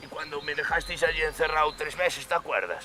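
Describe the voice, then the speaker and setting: Using a rumbling, put-on character voice at a fairly high pitch, a man rattles along at a very fast pace over clear background noise. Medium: puppet show. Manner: grumbling, crude.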